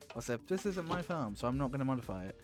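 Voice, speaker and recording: Speaking at a very fast pace, a man talks with a British accent. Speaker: gaming streamer. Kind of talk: live stream commentary. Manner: casual, rambling with fillers.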